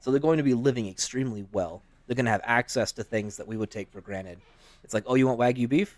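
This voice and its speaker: Speaking at a very fast pace, a man with a medium-pitched voice sounds animated, with big swings in loudness and ordinary pitch variation in a dry, close recording with no echo. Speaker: fantasy worldbuilding podcast co-host. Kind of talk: casual chat. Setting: live stream.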